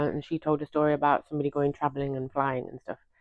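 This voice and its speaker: A woman speaks with a British accent. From United Kingdom. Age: 40s. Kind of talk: casual talk to camera.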